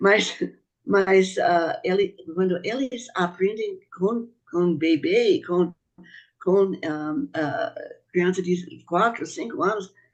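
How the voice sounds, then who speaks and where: Someone with a non-native accent talks at a very slow pace, with long, frequent pauses. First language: not Portuguese (speaking Portuguese). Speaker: speaker on Bahá'í teachings. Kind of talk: panel talk. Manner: halting.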